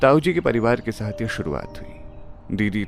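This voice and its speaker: Music plays in the background as a man speaks. His medium-pitched voice has lively intonation. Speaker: radio jockey and storyteller. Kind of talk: story narration, podcast.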